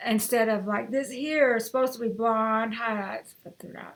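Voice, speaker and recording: The woman's voice sits at a fairly high pitch. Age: 60s. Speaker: lifestyle vlogger; home vlogger. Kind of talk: unboxing and try-on vlog. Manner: casual, rambling with fillers. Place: home room. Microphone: webcam.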